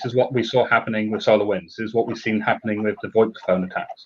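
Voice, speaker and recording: A man with a British accent talks at a very fast pace. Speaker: security technology executive. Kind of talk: panel discussion.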